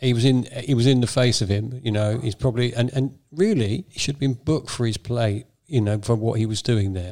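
With an English accent, a man talks fairly quickly with hardly any pauses, his dark, mellow voice at a medium pitch with ordinary pitch variation. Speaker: football podcast co-host. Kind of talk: casual chat.

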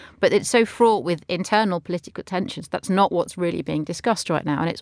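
On a very clean recording with a silent background, a woman talks at a very fast pace with vocal fry and ordinary pitch variation. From London, England. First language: not English (another language spoken at home). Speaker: editor and commentator. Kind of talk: current affairs panel discussion. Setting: studio.

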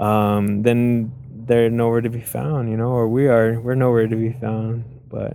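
A man's medium-pitched voice at a fairly slow pace. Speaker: graffiti artist. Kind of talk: interview. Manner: halting, many repetitions and fillers.

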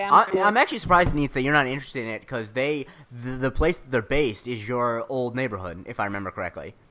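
Noticeable background noise sits behind a man talking at a very fast pace. His medium-pitched voice has lively intonation and big swings in loudness. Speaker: podcast co-host.

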